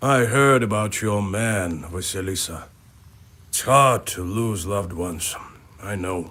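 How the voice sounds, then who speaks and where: Putting on a character voice, a man speaks fairly slowly at a fairly low pitch with ordinary pitch variation. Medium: video game. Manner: plain-spoken, earnest.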